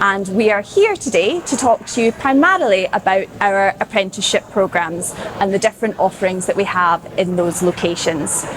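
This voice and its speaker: Speaking at a fairly quick pace in a Scottish accent, a woman holds a medium pitch with ordinary variation and very even loudness over noticeable background noise. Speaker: corporate recruiter presenting apprenticeships. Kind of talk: presentation to audience. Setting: stage with audience. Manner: animated.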